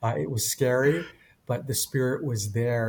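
At a moderate pace, a man speaks in a somewhat breathy voice with a Canadian accent. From Japan, raised in Canada from age eight. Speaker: pastor and author. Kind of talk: interview storytelling.

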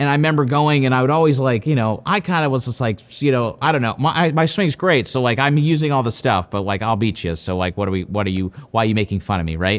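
On a very clean recording with a silent background, a man with a Midwestern American accent talks very fast at a medium pitch, his voice swinging very widely in pitch. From US Midwest, Ohio. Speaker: golf coach. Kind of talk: interview answers.

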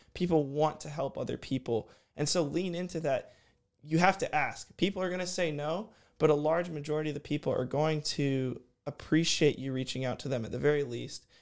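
A man's fairly high voice, a normal speaking voice, at a fairly quick pace with fairly even intonation, on a very clean recording with a silent background. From Houston, Texas. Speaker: college student athlete and podcast host. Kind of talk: interview conversation. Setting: studio.

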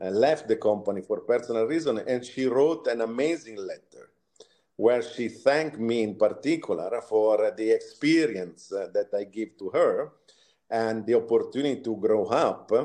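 A man's dark, mellow, medium-pitched voice with an Italian accent, ordinary pitch variation and a moderate pace. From Italy, Tuscany. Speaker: retail executive. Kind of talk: interview.

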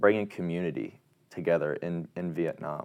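A man with a Midwestern American accent talks at a fairly slow pace. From Indiana, US Midwest. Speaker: college student athlete. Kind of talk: interview. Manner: halting, many fillers and repeats.

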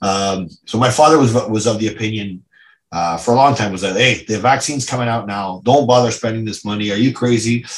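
A man with a Canadian accent and a plain, everyday voice speaks at a fairly quick pace with ordinary pitch variation. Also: medium pitch for a man. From Ottawa, Canada. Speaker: business owner. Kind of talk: interview.

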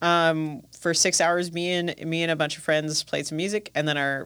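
In a very clean recording with a silent background, a woman with an American accent talks in a plain, everyday voice at a fairly low pitch. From US Midwest, Milwaukee. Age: 30s. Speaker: music industry professional and radio host. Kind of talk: interview. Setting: studio.

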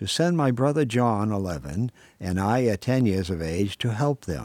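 Using a normal speaking voice, a man talks at a fairly slow pace in a fairly low pitch with lively intonation. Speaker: writer reading own work. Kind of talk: literary short story reading, nostalgic memoir read aloud. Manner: measured, unhurried reading.

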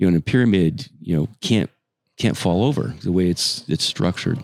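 Talking very fast, a man speaks with a very deep, low pitch. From New Mexico. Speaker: parking company executive. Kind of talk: casual interview chat.

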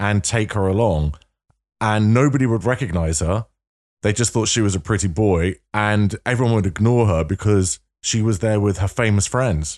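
Speaking at a moderate pace with a North London accent, a man uses a fairly low pitch and ordinary pitch variation. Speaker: podcast host. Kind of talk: casual interview chat.

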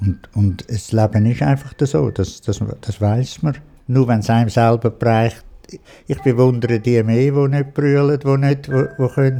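A man's dark, mellow voice at a medium pitch with ordinary pitch variation. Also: moderate pace. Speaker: widower. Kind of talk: personal storytelling.

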